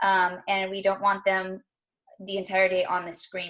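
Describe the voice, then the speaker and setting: A woman is speaking. Her pitch is medium. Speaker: school teacher. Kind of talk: parent orientation presentation. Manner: fast.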